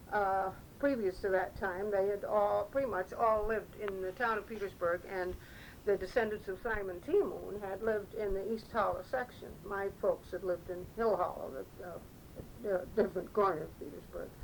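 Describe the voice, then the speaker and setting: Against noticeable background noise, a woman speaks at a moderate pace with medium pitch and fairly even intonation. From upstate New York, Petersburgh. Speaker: oral history interviewee. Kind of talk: oral history reminiscence. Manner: halting, repetitive hesitations.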